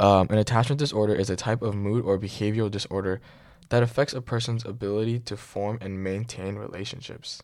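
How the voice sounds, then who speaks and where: On a very clean recording with a silent background, a man with a fairly low pitch speaks at a fairly quick pace with fairly even intonation. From New York City. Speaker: podcast host. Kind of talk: casual chat. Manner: halting, filler-heavy.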